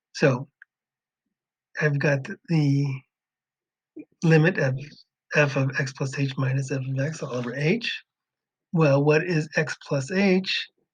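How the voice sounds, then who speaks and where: A somewhat breathy man speaks at a very slow pace with ordinary pitch variation. He leaves long, frequent pauses. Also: fairly high pitch for a man. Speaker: math teacher. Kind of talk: tutorial.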